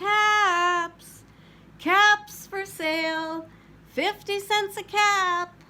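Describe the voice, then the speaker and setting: A woman uses a put-on character voice that is squeaky and extremely high in pitch. She speaks at a very slow pace. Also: fairly even intonation. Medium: read story. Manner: scolding.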